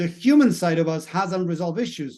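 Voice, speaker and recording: At a fairly quick pace, a man with a Spanish accent talks in a high pitch with a dark, mellow tone. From Latin America, Spanish-speaking country. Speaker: mindset coach. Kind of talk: video monologue.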